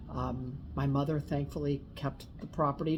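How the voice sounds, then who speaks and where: With an American accent, a woman speaks in a very deep, low, somewhat breathy voice and fairly even intonation. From Napa Valley, California. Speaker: winery owner. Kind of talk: casual interview. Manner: fast.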